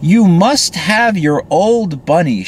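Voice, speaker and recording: The speaker uses a put-on character voice at a middle pitch. Background noise is clearly heard. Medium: read story. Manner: brisk, matter-of-fact.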